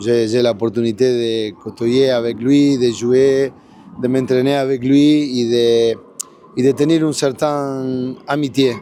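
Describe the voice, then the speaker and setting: Speaking very slowly with a Spanish accent, a man at medium pitch keeps his intonation fairly even and his loudness very even, over noticeable background noise. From Argentina. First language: Spanish (speaking French). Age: 60s. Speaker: football coach, former pro player. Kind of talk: post-match interview. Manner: halting, repeats words.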